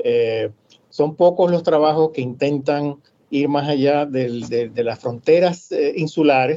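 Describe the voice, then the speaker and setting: Very slow speech from a man, fairly high-pitched, with normal pitch movement. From Cuba, raised in Panama and Puerto Rico. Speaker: academic author. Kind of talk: interview conversation.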